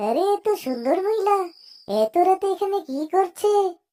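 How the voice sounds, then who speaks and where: Putting on a squeaky, cartoonish character voice, a woman speaks at a moderate pace with lively intonation and an extremely high pitch. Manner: forward, curious.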